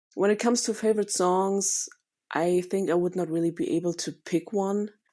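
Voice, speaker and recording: A woman's dark, mellow voice with a German accent, monotone and flat, at a moderate pace in a very clean recording with a silent background. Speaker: listener sending a voice memo. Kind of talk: recorded voice memo monologue. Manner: unscripted, with hesitations.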